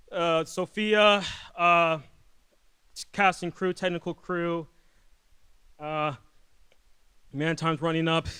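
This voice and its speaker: A bright, sharp voice moves at a very slow pace with long, frequent pauses and fairly even intonation, in a very clean recording with a silent background. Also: man. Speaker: filmmaker. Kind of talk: award acceptance speech. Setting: stage with audience. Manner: halting, stuttering; high energy.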